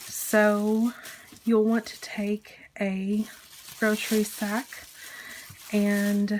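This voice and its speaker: Soft-spoken, a woman talks at a fairly high pitch. Noticeable background noise sits behind her. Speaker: crafting video creator. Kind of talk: tutorial. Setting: home kitchen.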